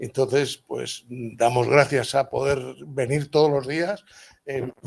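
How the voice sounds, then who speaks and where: Delivered very slowly, the words carry a fairly even intonation. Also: man, medium pitch for a man. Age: 70s. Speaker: architect and organization president. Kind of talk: impromptu welcome speech. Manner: halting.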